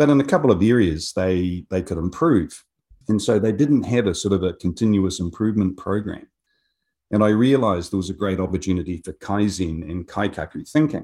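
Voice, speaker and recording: A man with a fairly low pitch and ordinary pitch variation, talking at a fairly quick pace in a very clean recording with a silent background. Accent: New Zealand. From New Zealand, Otago (south of Dunedin). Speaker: business executive. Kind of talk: interview.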